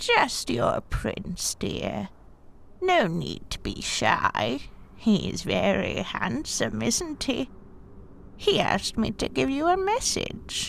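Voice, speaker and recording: A woman speaks very slowly in a put-on character voice. Background noise can be clearly heard. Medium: audio drama. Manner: honeyed, ingratiating.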